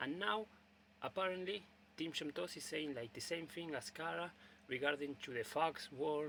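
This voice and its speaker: Speaking with a Spanish accent, a man has a fairly high pitch and a bright, sharp tone. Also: ordinary pitch variation, moderate pace. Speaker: video blogger. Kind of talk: casual monologue. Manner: halting, many fillers and repetitions.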